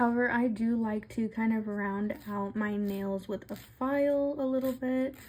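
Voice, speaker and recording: A woman talks at a fairly slow pace with hardly any pauses. Hers is an ordinary speaking voice, fairly high in pitch, with fairly even intonation. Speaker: nail tutorial creator. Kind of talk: tutorial. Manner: casual, conversational.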